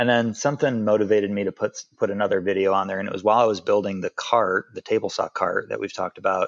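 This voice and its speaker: A man talks at a very fast pace with hardly any pauses. The sound is dry and close with no echo, and the background is quiet. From Chicago, US Midwest. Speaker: hospital administrator and hobby woodworker. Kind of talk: casual podcast interview.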